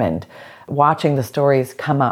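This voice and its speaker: Here is a woman with an American accent and a very deep, low pitch. Her pitch varies in an ordinary way over a quiet background. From US South, Georgia. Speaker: film editor and storyteller. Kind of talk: interview. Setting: at home.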